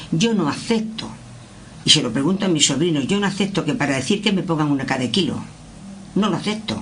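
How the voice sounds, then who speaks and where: A woman's fairly low voice at a fairly quick pace with very wide pitch swings, amid noticeable background noise and audible room echo. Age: 70s. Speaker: workshop participant. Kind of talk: roundtable discussion. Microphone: far from the mic.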